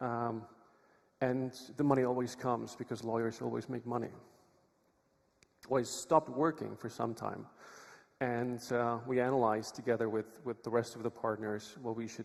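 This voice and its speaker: Speaking in a Czech accent, a man holds a medium pitch with monotone, flat intonation. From Czech Republic. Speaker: lawyer, conference speaker. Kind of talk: conference talk. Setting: stage with audience.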